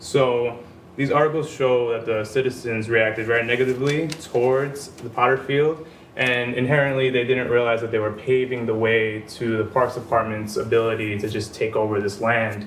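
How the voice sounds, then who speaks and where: The speech has fairly even intonation, with audible room echo and noticeable background noise. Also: man. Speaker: graduate student panelist. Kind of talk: conference presentation. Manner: fast.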